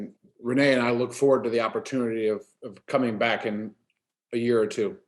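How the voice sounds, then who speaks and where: A man with a Maryland accent, medium-pitched, fairly quick yet broken by long, frequent pauses, his intonation fairly even. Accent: American (Maryland). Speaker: AA speaker. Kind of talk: testimony. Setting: video call. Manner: fast.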